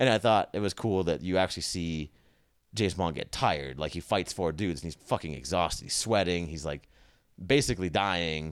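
A man with an American accent talks at a fairly quick pace in a very deep, low pitch with vocal fry. His pitch varies in an ordinary way, and the recording is very clean with a silent background. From California. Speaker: medical student. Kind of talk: casual chat.

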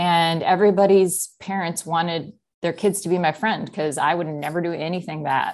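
An unremarkable speaking voice from a woman, fairly low in pitch, fairly quick, fairly even in intonation, over a quiet background. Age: 30s. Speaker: podcast guest, seminary friend. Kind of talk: casual interview. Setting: video call.

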